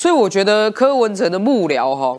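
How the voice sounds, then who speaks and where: At a moderate pace, a woman talks in a fairly high voice. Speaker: politician, city councilor. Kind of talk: talk show panel commentary.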